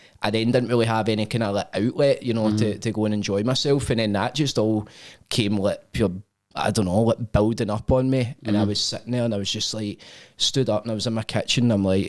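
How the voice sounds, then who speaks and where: A man with a Scottish accent talks very fast at a medium pitch with fairly even intonation, recorded very cleanly against a silent background. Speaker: podcast host. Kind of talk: casual podcast conversation.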